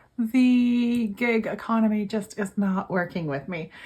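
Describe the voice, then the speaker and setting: Somewhat breathy and pitched fairly high, a woman speaks at a very slow pace with ordinary pitch variation. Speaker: budgeting vlogger and gig worker. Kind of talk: casual vlog.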